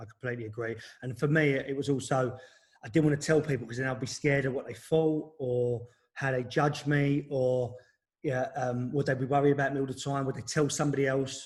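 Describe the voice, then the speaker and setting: A man speaks in an English accent at a medium pitch, sounding somewhat breathy. His intonation is fairly even and his pace fairly quick. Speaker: former footballer. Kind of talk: interview. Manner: fast.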